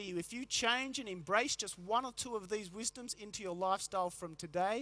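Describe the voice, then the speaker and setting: In an Australian accent, a man with a high voice speaks raised and projected, his tone bright, sharp and animated, with ordinary pitch variation. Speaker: motivational health speaker. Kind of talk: keynote talk to a live audience. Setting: conference stage with large audience. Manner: fast.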